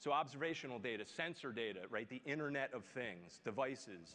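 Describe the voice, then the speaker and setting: Bright and sharp in tone, a man with a Philadelphia accent talks at a fairly quick pace with lively intonation. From US Northeast, Philadelphia. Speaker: tech executive. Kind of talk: keynote speech. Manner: filler-heavy, with frequent um and you know.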